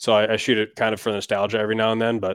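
A man with an Upper Midwest US accent talks at a fairly quick pace in a fairly low pitch. The recording is very clean, with a silent background. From Wisconsin. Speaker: hunting YouTuber. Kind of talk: interview.

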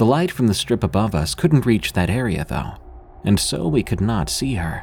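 With music in the background, a man talks in very wide pitch swings. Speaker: podcast narrator. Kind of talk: ghost story narration.

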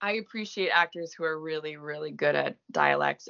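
Her delivery moves at a moderate pace, and this woman's pitch varies in an ordinary way. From Quebec, French Canada. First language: French. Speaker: actress. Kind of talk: casual interview chat. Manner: halting, many fillers.

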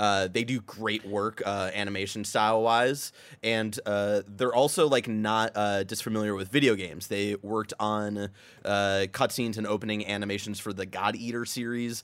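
Delivered at a moderate pace, an unremarkable speaking voice keeps fairly even intonation. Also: man, fairly low pitch for a man. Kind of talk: casual chat. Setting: studio.

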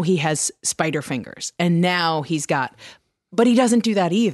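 A woman with an ordinary speaking voice is heard in a dry, close sound with no echo and a quiet background. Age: 40s. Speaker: audiobook narrator and podcast co-host. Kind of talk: casual chat.

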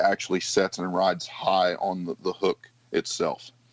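In an Appalachian accent, the voice moves at a moderate pace with a dry, close sound and no echo. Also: man. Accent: Appalachian American. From West Virginia. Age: 30s. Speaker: firefighter and fly tier. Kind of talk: interview, fly fishing tutorial.

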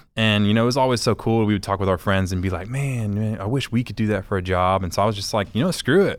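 A man with a fairly low pitch talks at a very fast pace with hardly any pauses and ordinary pitch variation, in a very clean recording with a silent background. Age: 30s. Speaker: orthodontist and social media creator. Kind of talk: casual chat. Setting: studio.

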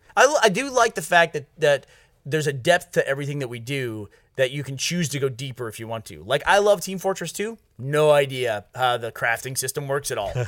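An ordinary speaking voice at a fairly quick pace, with lively intonation and big swings in loudness. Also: man, fairly high pitch for a man, very clean recording, silent background. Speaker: podcast host. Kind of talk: casual banter chat. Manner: fast, talkative, interrupting.

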